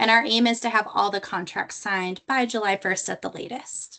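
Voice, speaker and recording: A woman speaks with a bright, sharp tone. Her pitch is fairly high and her pace moderate. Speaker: state grant coordinator. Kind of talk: informational webinar presentation. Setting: online webinar.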